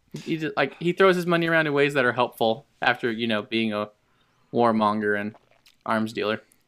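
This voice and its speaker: Here a man talks fairly quickly in an ordinary speaking voice. His pitch is medium and his intonation lively. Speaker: podcast co-host. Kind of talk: casual comedic banter.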